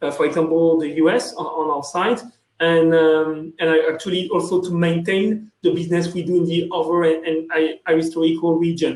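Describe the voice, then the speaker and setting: Someone with a French accent talks at a moderate pace with fairly even intonation. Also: man. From France. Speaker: sales executive. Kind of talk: conference panel talk. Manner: halting, many fillers.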